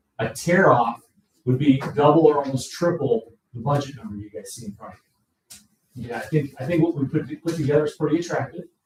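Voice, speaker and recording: The man's pitch is fairly high, with ordinary variation. He rushes along at a very fast pace. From Indiana (LaPorte). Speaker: roofing contractor. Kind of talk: sales pitch.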